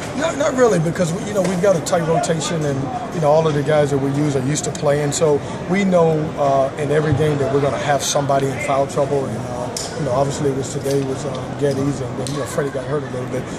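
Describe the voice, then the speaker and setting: A man at a very fast pace with hardly any pauses, amid loud background noise. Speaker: basketball coach. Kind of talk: interview answer. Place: hall. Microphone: phone near.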